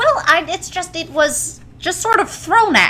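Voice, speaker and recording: A woman's put-on character voice at an extremely high pitch, moderate in pace with big swings in loudness, clear background noise behind it. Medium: game stream. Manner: hesitant, flustered.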